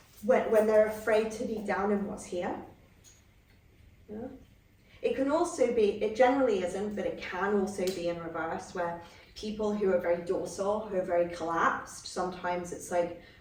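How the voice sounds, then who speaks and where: A woman speaks at a moderate pace with ordinary pitch variation while audible room echo and noticeable background noise fill the recording. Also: medium pitch for a woman. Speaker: psychotherapy trainer. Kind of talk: training lecture. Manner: halting, many false starts.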